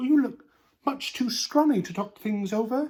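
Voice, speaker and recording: Fairly high pitch in a put-on character voice, moving at a moderate pace. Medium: read story. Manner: eager, cheerful.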